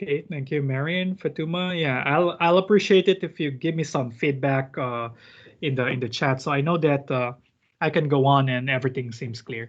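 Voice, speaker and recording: With ordinary pitch variation, a normal speaking voice proceeds at a moderate speed. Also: man, fairly high pitch for a man. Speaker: teaching assistant. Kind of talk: online math lab tutorial. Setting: video call.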